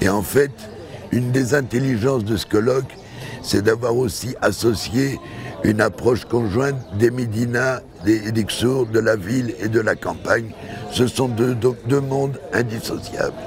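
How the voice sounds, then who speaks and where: Fairly slow, fairly even delivery from a man at a medium pitch, with music in the background. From Belgium. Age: 80s+. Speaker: architect. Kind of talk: interview statement. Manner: halting.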